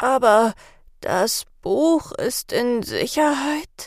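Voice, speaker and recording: A put-on character voice, raspy and high in pitch, makes very wide pitch swings. It moves at a very slow pace. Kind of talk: German, spoken.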